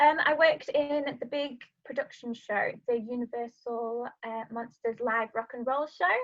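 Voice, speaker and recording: In a Yorkshire accent, a woman speaks at a high pitch with fairly even intonation. Her pace is fairly slow, with hardly any pauses. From northern England, Sheffield, South Yorkshire. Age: 20s. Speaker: vocal mindset coach and musical theatre singer. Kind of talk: podcast interview.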